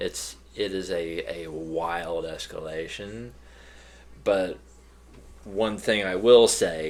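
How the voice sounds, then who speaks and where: A man with a very deep, low pitch, talking at a very slow pace with long, frequent pauses, in audible room echo. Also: ordinary pitch variation. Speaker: podcast co-host. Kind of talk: casual chat. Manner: halting, repeats words.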